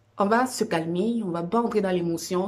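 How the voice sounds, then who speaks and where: At a moderate pace, a woman talks in a somewhat breathy voice with a fairly low pitch. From Cameroon. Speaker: vlogger sharing personal experience. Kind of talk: personal testimony vlog. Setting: at home on a couch. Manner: halting, many fillers.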